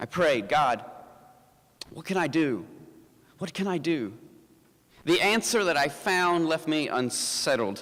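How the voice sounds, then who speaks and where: An American accent comes through as a man speaks at a fairly slow pace, with long, frequent pauses. His pitch is fairly high, and his intonation is lively. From US South, Appalachian mountains. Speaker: pastor. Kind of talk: inspirational talk. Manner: halting, with fillers and repeated words.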